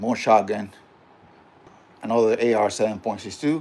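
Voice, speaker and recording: A man of medium pitch with a slight Puerto Rican accent speaks at a moderate pace with fairly even intonation. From Puerto Rico. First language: Spanish. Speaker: gun channel host. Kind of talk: casual livestream talk. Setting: home livestream. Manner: halting, many fillers.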